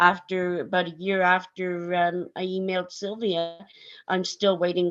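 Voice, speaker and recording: A woman's fairly low voice at a fairly slow pace, against a quiet background. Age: 60s. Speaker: bereaved mother. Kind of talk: panel discussion. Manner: halting.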